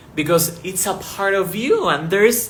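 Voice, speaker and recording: A man's high-pitched voice with a non-native accent, audible room echo and noticeable background noise. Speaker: spiritual teacher. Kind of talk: spiritual talk to camera. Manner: slow, deliberate; casual, many fillers.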